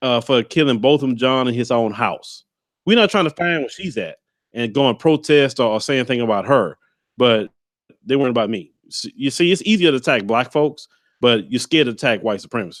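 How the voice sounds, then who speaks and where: Talking at a fairly quick pace, a man with a Southern US accent uses lively intonation. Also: medium pitch for a man. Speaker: YouTube commentator. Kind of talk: interview. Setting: livestream video call.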